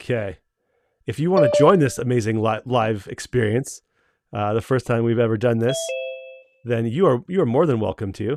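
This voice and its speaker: A man in a Canadian accent with long, frequent pauses, in a dry, close sound with no echo. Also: medium pitch for a man, lively intonation, moderate pace. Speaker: company owner hosting livestream. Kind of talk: live stream Q&A. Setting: video call livestream. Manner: casual, many fillers and restarts.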